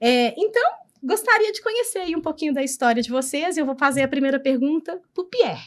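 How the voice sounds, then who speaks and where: A woman speaks at a fairly quick pace and a high pitch, with very wide pitch swings. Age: 40s. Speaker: podcast host, company founder. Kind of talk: interview podcast.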